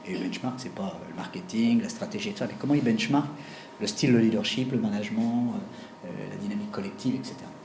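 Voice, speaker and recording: A man at a fairly quick pace with very wide pitch swings, amid noticeable background noise and audible room echo. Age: 60s. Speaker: executive coach. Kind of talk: lecture. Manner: halting.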